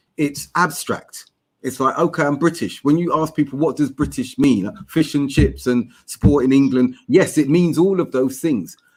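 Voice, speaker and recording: In a South London accent, a man with a fairly high pitch and vocal fry talks with hardly any pauses. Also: ordinary pitch variation, moderate pace. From South London (Tooting). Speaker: academic guest on Islamic podcast. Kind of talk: podcast discussion.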